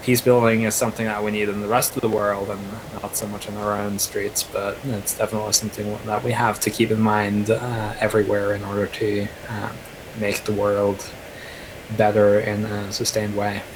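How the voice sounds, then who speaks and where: This man talks in a flat monotone at a moderate pace, with a fairly low pitch and a Norwegian accent. Noticeable background noise runs under his voice. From Norway. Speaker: counter-extremism activist. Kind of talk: online panel discussion.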